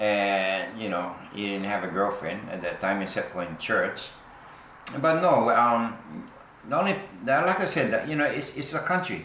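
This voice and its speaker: A man with a Hawaiian accent talks at a moderate pace and medium pitch, making very wide pitch swings over noticeable background noise. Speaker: fisherman. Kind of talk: interview answer.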